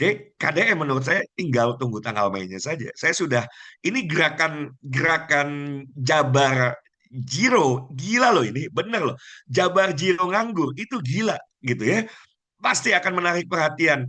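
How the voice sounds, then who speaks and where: A man with a fairly high pitch and a bright, sharp tone sounds animated, moving through very wide pitch swings at a moderate pace. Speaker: business school founder and trainer. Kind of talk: online motivational sales pitch to an audience. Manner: animated, persuasive.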